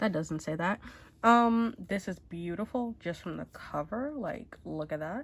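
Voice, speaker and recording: Somewhat breathy, a woman talks at a fairly slow pace with lively intonation and a medium pitch. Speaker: beauty YouTuber. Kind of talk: casual talk to camera. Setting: speaking through a mask.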